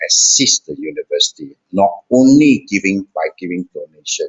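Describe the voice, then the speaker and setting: A man talking at a fairly slow pace, with music in the background. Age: 60s. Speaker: alumni council chairman. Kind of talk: press conference remarks. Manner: halting, many fillers.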